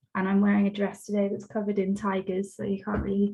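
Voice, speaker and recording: A woman talks at a medium pitch in a somewhat breathy voice with a dark, mellow tone. Her intonation stays monotone and flat. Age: 30s. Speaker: arts project manager, webinar host. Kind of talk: webinar introduction.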